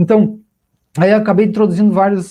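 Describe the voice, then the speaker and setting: A man's dark, mellow tone. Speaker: professor giving a talk. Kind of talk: lecture.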